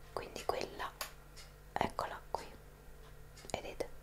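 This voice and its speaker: A woman over loud background noise. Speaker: vlogger. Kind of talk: casual vlog chat. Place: kitchen. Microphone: phone near.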